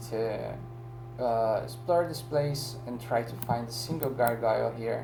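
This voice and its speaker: With a non-native accent, the speaker talks at a fairly slow pace over music in the background. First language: not English. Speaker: gaming YouTuber. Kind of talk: game tutorial. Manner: casual, with some hesitations.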